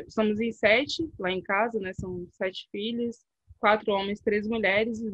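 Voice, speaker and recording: A woman's fairly high voice at a fairly slow pace, with ordinary pitch variation and a dry, close sound with no echo. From Salvador, Bahia, Brazil. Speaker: researcher and cycling activist. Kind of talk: interview. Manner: halting, many fillers.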